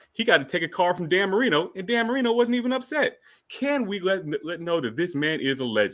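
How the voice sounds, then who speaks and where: An animated tone at a fairly quick pace, very wide pitch swings, and a very clean recording with a silent background. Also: man. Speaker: podcast guest advocate. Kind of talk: debate argument. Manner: fast.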